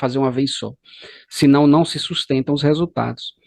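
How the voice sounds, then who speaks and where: A man with a Bahian accent talks at a fairly quick pace in a fairly high pitch, the sound dry and close with no echo. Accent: Bahian Brazilian Portuguese. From Brazil, Bahia (Salvador). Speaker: course instructor. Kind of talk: lecture.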